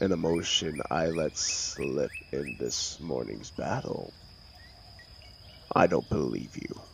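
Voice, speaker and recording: Against clear background noise, a man uses a put-on character voice, very deep and low, talking at a fairly slow pace with long, frequent pauses. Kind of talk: comfort audio roleplay. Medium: audio drama. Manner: dry, controlled, sardonic.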